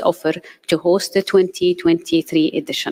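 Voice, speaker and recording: This is a woman speaking at a medium pitch. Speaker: committee chairperson. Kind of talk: formal report presentation. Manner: fast; formal.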